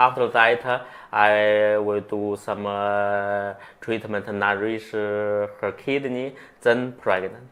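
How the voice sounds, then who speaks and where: A fairly low-pitched man with a Chinese accent, very slow and flat in monotone, on a very clean recording with a silent background. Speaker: acupuncturist. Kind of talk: interview. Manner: halting.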